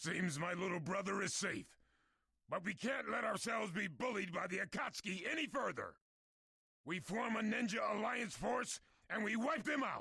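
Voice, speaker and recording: A man's raised, projected, raspy character voice, put on high and delivered at a moderate pace. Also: lively intonation. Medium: video game. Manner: loud, forceful.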